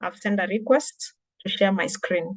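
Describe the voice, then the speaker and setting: In a Kenyan accent, a woman speaks at a medium pitch. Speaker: digital marketing trainer. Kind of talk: webinar presentation.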